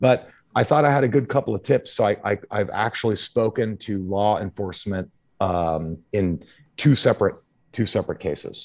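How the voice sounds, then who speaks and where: Against a quiet background, a man talks at a moderate pace. His pitch is fairly low, with ordinary variation. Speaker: podcast co-host. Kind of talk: casual chat. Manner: animated.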